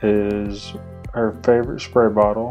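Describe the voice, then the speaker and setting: A man talks in a fairly low pitch with monotone, flat intonation. Music plays in the background. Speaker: husband doing voiceover for his wife's cleaning video. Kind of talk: casual talk to camera, voiceover commentary. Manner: casual, easygoing, conversational.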